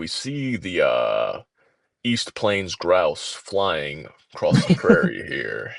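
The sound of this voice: Using a raspy put-on character voice, a man talks at a very slow pace with big swings in loudness.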